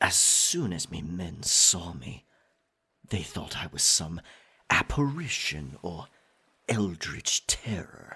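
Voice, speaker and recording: Using a put-on character voice, a man speaks at a very slow pace in a very deep, low pitch, with long, frequent pauses. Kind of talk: ASMR roleplay. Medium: audio drama. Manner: possessive, swinging between tender and menacing.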